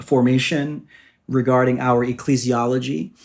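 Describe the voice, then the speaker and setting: At a fairly slow pace, a man talks in an ordinary speaking voice with a fairly high pitch. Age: 40s. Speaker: pastor. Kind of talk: interview.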